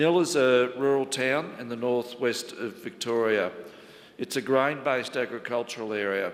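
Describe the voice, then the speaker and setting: A man with an Australian accent, moderate pace and ordinary pitch variation. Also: medium pitch for a man. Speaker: local government chief executive. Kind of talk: conference presentation. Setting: conference panel with audience.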